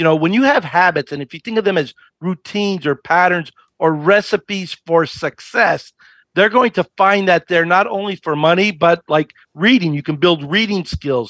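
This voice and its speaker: In a dry, close recording with no echo, a man with a high voice talks in an animated tone at a moderate pace, his pitch varying in an ordinary way. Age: 60s. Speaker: financial educator. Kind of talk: interview.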